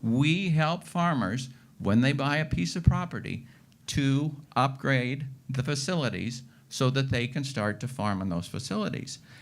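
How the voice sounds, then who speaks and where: With lively intonation, an unremarkable speaking voice proceeds at a fairly slow pace. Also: man, medium pitch for a man. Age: 60s. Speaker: farmer. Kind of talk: panel discussion.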